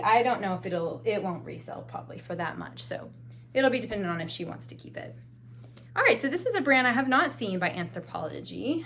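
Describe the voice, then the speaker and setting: Amid audible room echo, a woman speaks at a fairly quick pace with big swings in loudness. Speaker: part-time clothing reseller, haul video creator. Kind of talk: haul video, casual talk to camera. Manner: chatty, casual, with self-corrections.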